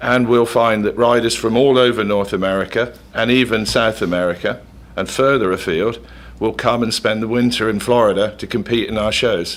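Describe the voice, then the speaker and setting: A man speaks with an English accent at medium pitch. His intonation is fairly even and his pace moderate. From England. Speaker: equestrian event organizer. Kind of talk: radio interview.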